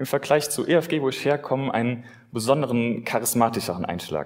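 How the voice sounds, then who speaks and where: A man talks at a medium pitch and a moderate pace. He has an unremarkable speaking voice with ordinary pitch variation. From Germany, Westerwald (Rhineland-Palatinate). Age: 20s. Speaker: lay preacher. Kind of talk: sermon.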